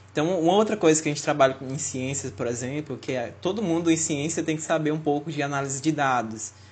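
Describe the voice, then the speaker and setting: Somewhat breathy and fairly high in pitch, a man races along at a very fast pace with hardly any pauses and ordinary pitch variation. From Fortaleza, Brazil. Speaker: podcast co-host, biomedical student. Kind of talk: casual chat.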